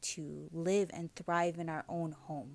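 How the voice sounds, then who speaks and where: Against a silent background in a very clean recording, a woman with a Hawaiian accent speaks very slowly at a fairly low pitch. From Hawaii, O'ahu (Kaneohe, Honolulu). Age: 30s. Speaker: digital marketing entrepreneur. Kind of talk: interview.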